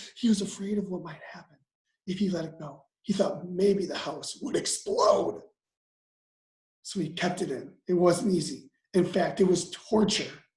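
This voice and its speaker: This is a put-on character voice with a raspy sound. It sits at a middle pitch and moves at a moderate pace. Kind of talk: bedtime story. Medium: read story. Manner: casual, chatty asides.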